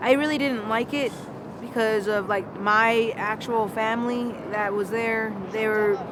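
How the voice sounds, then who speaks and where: Amid noticeable background noise and audible room echo, a woman speaks at a fairly slow pace and fairly high pitch with fairly even intonation. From North Dakota, Lakota Sioux reservation. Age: 20s. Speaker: interviewee. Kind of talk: street interview.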